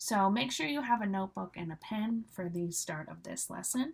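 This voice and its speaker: Somewhat breathy and at medium pitch, a woman speaks at a fairly quick pace with ordinary pitch variation and an American accent. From US Northeast, Cape Cod, Massachusetts. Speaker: English teacher. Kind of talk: live online English class. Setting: live stream. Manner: casual, with many fillers.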